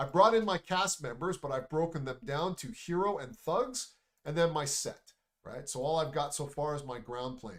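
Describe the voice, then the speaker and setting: At a moderate pace, a man talks with lively intonation. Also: fairly high pitch for a man. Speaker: animation instructor. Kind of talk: tutorial. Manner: soft-spoken; casual.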